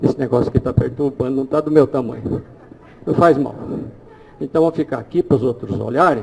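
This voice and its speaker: Through noticeable background noise, a man with a medium pitch and ordinary pitch variation speaks at a fairly quick pace with long, frequent pauses. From Brazil. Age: 60s. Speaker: holistic therapist giving a talk. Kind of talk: live demonstration lecture.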